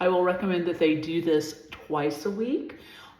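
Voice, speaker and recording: A woman at a moderate pace, her ordinary pitch variation carried by audible room echo. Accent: American. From Southern California. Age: 60s. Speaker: personal stylist. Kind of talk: skincare tutorial. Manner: casual, with many fillers.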